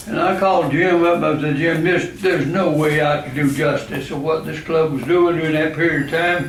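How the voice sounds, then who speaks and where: A man with a Southern US accent, fairly high-pitched, at a moderate pace and with fairly even intonation, amid noticeable background noise and audible room echo. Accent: Southern US (Georgia). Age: 80s+. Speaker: club member. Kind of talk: after-dinner talk.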